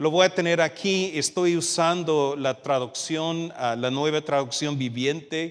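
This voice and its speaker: A man with an American accent speaks at a fairly high pitch and a fairly slow pace. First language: English (speaking Spanish). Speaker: youth minister, guest preacher. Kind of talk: sermon. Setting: church service with congregation, livestreamed. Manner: halting, with fillers.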